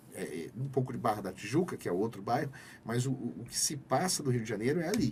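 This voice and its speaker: Talking at a very fast pace, a man with a medium pitch and vocal fry uses lively intonation. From Brazil, Campinas (São Paulo interior). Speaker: sustainability manager, podcast guest. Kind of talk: casual interview chat. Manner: hesitant, frequent repetitions.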